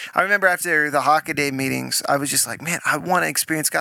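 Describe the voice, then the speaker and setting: Loud and very fast, a man speaks at a fairly high pitch with a bright, sharp tone, in a very clean recording with a silent background and a dry, close sound with no echo. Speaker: podcast co-host. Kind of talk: faith-based casual chat. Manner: intense.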